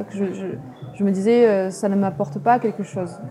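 A woman's medium-pitched voice shifts in pitch in a usual way while noticeable noise sits in the background. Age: 30s. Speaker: author. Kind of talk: interview.

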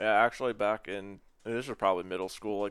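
A man's fairly low voice, fairly even in intonation, an unremarkable speaking voice. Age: 20s. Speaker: music fan. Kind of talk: casual chat.

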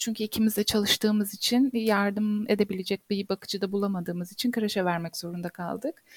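A woman's somewhat breathy, medium-pitched voice at a fairly quick pace, fairly even in intonation, in a very clean recording with a silent background and a dry, close sound with no echo. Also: hardly any pauses. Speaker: architect. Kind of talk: casual interview.

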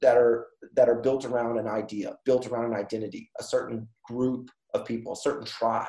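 This man has a dark, mellow tone. He speaks at a fairly quick pace. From North Carolina, Durham. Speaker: co-working space owner. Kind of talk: casual interview. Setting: video call. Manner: halting, many fillers.

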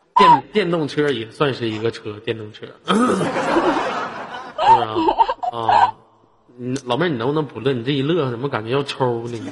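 A man with a fairly high voice speaks with ordinary pitch variation against noticeable background noise. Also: moderate pace. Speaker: live-stream host. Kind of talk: casual chat. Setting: online voice chat room. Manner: animated.

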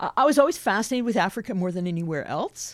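A woman with a Western Canadian accent speaks with lively intonation. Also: very clean recording, silent background. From southeast British Columbia, Canada. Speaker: missions leader, former missionary. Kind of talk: podcast interview.

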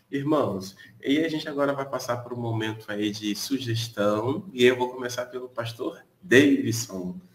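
The speech moves at a moderate pace with hardly any pauses and ordinary pitch variation, over noticeable background noise. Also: man, medium pitch for a man. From Brazil, Niterói (Rio de Janeiro). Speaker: pastor, live prayer host. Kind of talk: live-stream devotional chat. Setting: live stream from his balcony.

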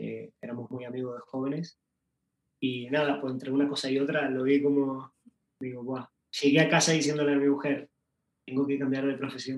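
A man's fairly high-pitched voice, monotone and flat, broken by long, frequent pauses. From Uruguay. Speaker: pastry chef. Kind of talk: interview.

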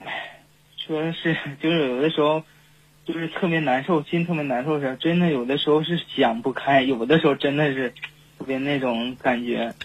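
A man's fairly high voice at a moderate pace, fairly even in intonation, broken by long, frequent pauses. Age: 20s. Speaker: caller, game streamer. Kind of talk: phone-in confession. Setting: phone call. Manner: halting, many fillers.

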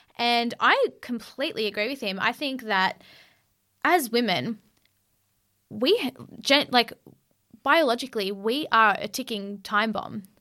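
A woman speaks at a fairly slow pace with a fairly high pitch and a bright, sharp tone, leaving long, frequent pauses. Her pitch variation is ordinary, and the recording is very clean with a silent background. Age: 20s. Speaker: podcast co-host. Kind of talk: casual chat. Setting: studio. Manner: animated.

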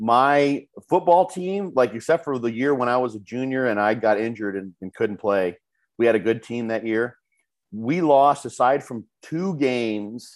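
With lively intonation, a man talks at a moderate pace in a medium pitch and a normal speaking voice. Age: 50s. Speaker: bodybuilding expert. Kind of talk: casual chat.

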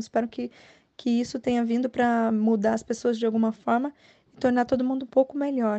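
A woman's fairly high voice in a flat, monotone delivery. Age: 30s. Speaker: working mother giving advice. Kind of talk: personal testimony.

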